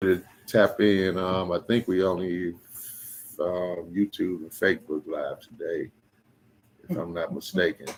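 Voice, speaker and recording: A soft-spoken man talks at a fairly slow pace. He leaves long, frequent pauses. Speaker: podcast host. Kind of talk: casual chat.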